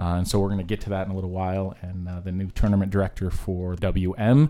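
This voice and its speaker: Very deep and low in pitch, a man speaks with a dark, mellow tone at a fairly quick pace. The recording is very clean, with a silent background. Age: 50s. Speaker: police chief and podcast host. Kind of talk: casual chat.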